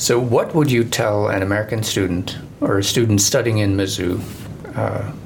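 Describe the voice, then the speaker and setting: A man with a fairly low voice talks at a moderate pace, his pitch varying in an ordinary way, as noticeable background noise carries on behind. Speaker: podcast host. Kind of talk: casual interview.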